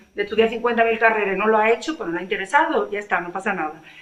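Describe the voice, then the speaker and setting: Speaking at a very fast pace in a Sevillian accent, a woman uses a fairly high pitch with ordinary pitch variation. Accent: Andalusian (Sevillian) Spanish, uses Z sound. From Seville, Andalusia, Spain. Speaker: author. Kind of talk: panel discussion at a library literary event. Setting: library event with audience. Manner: animated, emphatic.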